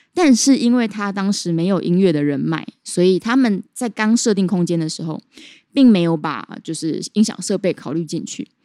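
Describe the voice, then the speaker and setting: At a moderate pace, a woman with a medium pitch and a dark, mellow tone speaks with lively intonation, in a very clean recording with a silent background and a dry, close sound with no echo. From Taiwan, Chiayi. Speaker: jazz singer and pharmacist. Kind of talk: casual interview. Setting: jazz bar.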